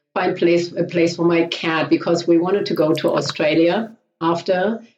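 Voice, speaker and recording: A woman's very deep, low-pitched voice in a German accent, with fairly even intonation and a moderate pace. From Germany. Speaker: riding coach. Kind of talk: interview.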